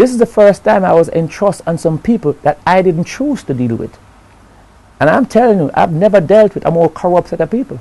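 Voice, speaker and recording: A man speaks at a high pitch with lively intonation. His tone is dark and mellow. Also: fairly quick pace. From Jamaica. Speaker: interviewee telling his story. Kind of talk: interview answer. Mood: earnest, aggrieved, reflective. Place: studio. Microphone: lapel.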